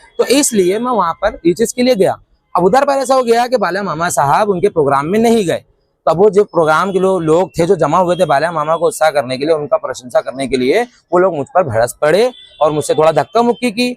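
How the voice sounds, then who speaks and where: A man talks at a moderate pace with a high pitch. The sound is dry and close, with no echo. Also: lively intonation. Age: 20s. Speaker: teacher and local protester. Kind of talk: interview testimony. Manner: halting, many false starts.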